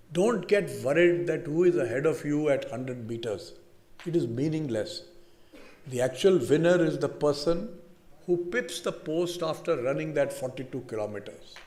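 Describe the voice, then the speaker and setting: A man with an Indian accent speaks at a moderate pace in a fairly high pitch. His intonation is lively, and vocal fry runs through his voice. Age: 70s. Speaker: business leader, convocation speaker. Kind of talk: convocation address. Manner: halting, repetitive restarts.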